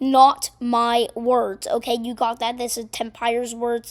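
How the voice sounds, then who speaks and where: The woman speaking has a high-pitched voice. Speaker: gaming video narrator. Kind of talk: recap narration; casual chat. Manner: casual, filler-heavy.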